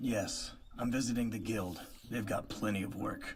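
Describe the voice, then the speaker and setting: A man puts on a raspy character voice at a medium pitch. Clear background noise runs behind him. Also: moderate pace. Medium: fan dub. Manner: terse, flat, few words.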